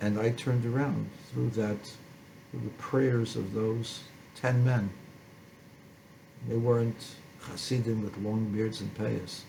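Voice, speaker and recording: A man's medium-pitched voice, monotone and flat, at a very slow pace with long, frequent pauses and audible room echo. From born in a refugee camp in postwar Germany. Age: 70s. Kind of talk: personal testimony.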